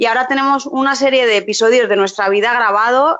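This is a woman with a normal speaking voice at a fairly high pitch. She talks at a fairly quick pace with ordinary pitch variation. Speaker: preschool teacher and YouTuber. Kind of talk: casual interview chat.

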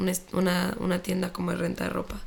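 Over noticeable background noise, a woman is speaking. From Chihuahua, northern Mexico. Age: 20s. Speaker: fitness instructor and entrepreneur. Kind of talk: casual interview chat.

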